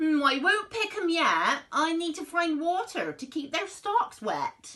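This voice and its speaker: A woman uses a put-on character voice with an extremely high pitch, speaking at a fairly slow pace. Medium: read story.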